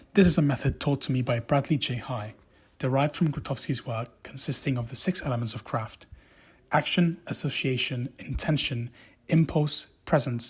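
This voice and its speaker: A somewhat breathy voice at a moderate pace with ordinary pitch variation, on a very clean recording with a silent background. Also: man. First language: Spanish. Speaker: actor, drama student. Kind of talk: narrated academic reflection.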